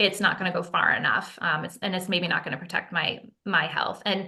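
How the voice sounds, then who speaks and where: A woman speaks in a bright, sharp tone. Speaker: non-profit founder and mold remediation advocate. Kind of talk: podcast interview. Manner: fast.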